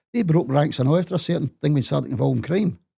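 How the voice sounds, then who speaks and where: Very fast speech in a Glaswegian accent. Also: man. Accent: Glaswegian Scottish. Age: 70s. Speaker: interviewee telling life story. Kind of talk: casual interview.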